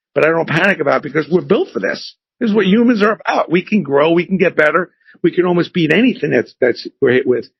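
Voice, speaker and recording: Delivered at a very fast pace, this man's speech has lively intonation and an animated tone. His pitch is high, and his loudness stays very even. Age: 60s. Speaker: entrepreneur and company founder. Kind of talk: podcast interview.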